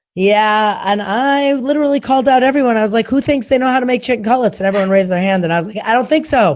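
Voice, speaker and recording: An animated, very fast delivery in an American accent, with hardly any pauses and ordinary pitch variation. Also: woman, fairly high pitch for a woman. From Connecticut, US. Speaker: celebrity chef. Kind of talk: casual interview chat.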